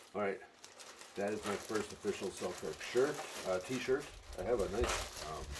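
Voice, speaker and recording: Over noticeable background noise, a man speaks at a moderate pace in a fairly low pitch with ordinary pitch variation, leaving long, frequent pauses. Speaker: pickleball player and brand advocate. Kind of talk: unboxing video. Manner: quiet, hushed.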